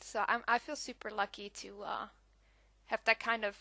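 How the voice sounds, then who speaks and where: A woman speaks at a moderate pace in a fairly high, bright, sharp voice with fairly even intonation over a quiet background. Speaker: scrapbooking crafter. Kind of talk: casual voiceover to craft process video.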